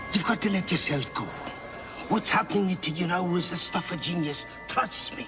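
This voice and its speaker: Over loud music in the background, a man uses a put-on character voice at a high pitch. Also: moderate pace. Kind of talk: stagey theatrical delivery. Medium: voice reel.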